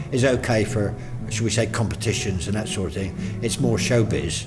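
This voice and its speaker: A man talks at a moderate pace. Background music plays, and his pitch is medium. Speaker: town crier. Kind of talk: interview answer. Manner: conversational, friendly.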